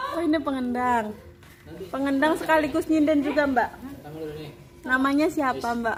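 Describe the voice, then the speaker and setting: Over noticeable background noise, a woman with a high pitch speaks with long, frequent pauses. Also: ordinary pitch variation, moderate pace. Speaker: midwife vlogger. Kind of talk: casual vlog chat. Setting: arts studio with gamelan group.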